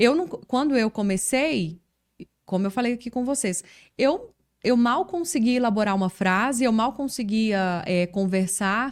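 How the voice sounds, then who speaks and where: On a very clean recording with a silent background, a woman with a strong Minas Gerais accent speaks fairly slowly at a fairly high pitch, her intonation lively. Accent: strong Minas Gerais (mineiro). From Minas Gerais, Brazil. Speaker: journalist and communication coach. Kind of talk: casual interview chat. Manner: relaxed, conversational with fillers.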